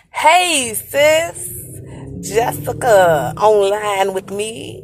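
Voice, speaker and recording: A woman speaks at a very slow pace with very wide pitch swings. Noticeable background noise runs underneath. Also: medium pitch for a woman. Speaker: livestream host. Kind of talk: casual chat. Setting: outdoors, on the move. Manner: speech slightly affected by retainers.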